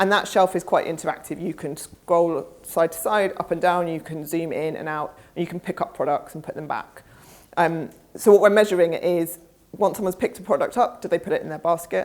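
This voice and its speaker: A woman with a fairly low pitch and a British accent speaks at a fairly quick pace, her intonation fairly even. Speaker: conference speaker, research executive. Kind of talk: conference presentation and Q&A. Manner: fast.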